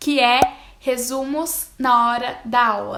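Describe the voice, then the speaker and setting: This voice belongs to a woman. It has a bright, sharp tone. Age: 20s. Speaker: university student and study vlogger. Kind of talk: tutorial.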